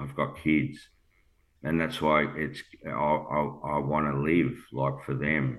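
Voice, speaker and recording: A man with an Australian accent, a very deep, low pitch, vocal fry, fairly even intonation and a very slow pace, amid audible room echo. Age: 50s. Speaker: cancer patient sharing his story. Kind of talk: emotional personal testimony.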